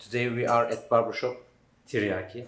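A man's voice comes with audible room echo and music playing in the background. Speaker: video host. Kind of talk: casual vlog intro. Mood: friendly, smiling. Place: shop. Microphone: camera far.

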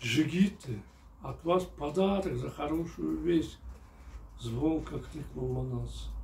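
Against light background noise, a man talks at a very slow pace, leaving long, frequent pauses. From Kyrgyzstan. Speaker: novelist reading his own book. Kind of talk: reading aloud. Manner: formal. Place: home room.

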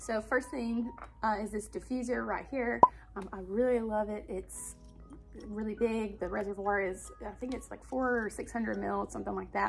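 A woman speaks with an Alabama accent. Clear music plays in the background. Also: moderate pace. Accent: Alabama Southern US. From Alabama, US. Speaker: stay-at-home mom and lifestyle vlogger. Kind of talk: casual talk to camera. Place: home room. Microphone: phone near.

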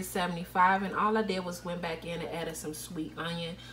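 The speaker moves at a moderate pace with a fairly bright tone. Faint background noise is present. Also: woman.

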